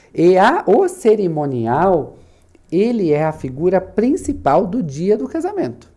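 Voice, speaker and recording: A man with a high voice and a dark, mellow tone swings his pitch very widely, recorded very cleanly against a silent background. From southern Brazil, Santa Catarina (Itaiópolis). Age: 30s. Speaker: wedding planner and business owner. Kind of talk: podcast interview. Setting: studio.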